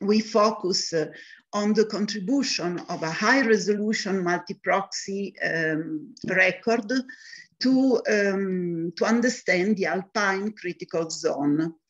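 A woman at a very slow pace with ordinary pitch variation, over a quiet background. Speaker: conference presenter. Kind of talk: lecture. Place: home room. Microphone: webcam.

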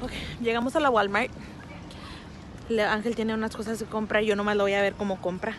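The speaker moves at a fairly quick pace with fairly even intonation. Clear background noise runs underneath. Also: woman, medium pitch for a woman.

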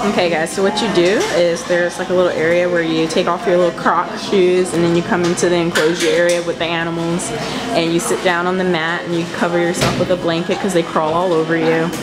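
Loud background noise sits under very fast speech that has hardly any pauses. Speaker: vlogger. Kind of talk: casual vlog chat. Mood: amused, cheerful. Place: cafe. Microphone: phone near.

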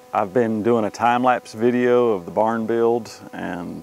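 A man is talking, and the sound is dry with no echo. Light background noise can be heard. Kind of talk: casual vlog chat. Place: open country.

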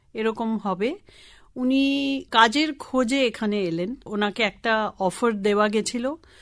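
A woman with a Tamil accent speaks at a fairly high pitch. Her pitch variation is ordinary, and the recording is very clean with a silent background. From Kolkata, India (Tamil family). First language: Tamil (speaking Bengali). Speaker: sustainable development professional. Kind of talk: radio interview.

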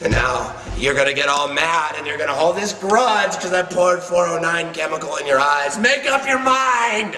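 The pitch swings very widely at a moderate pace, with hardly any pauses. Audible echo from the room carries through. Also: man, high pitch for a man. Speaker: professional wrestler. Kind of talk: wrestling promo, taunting a rival. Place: studio.

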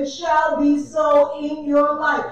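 A woman speaks with an American accent at an extremely high pitch. Strong room echo surrounds her voice. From US South. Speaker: church minister. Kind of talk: sermon prayer. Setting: church. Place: church. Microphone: camera far.

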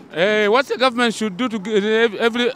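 A man talks at a fast pace with a high pitch, a fairly bright tone and ordinary pitch variation.

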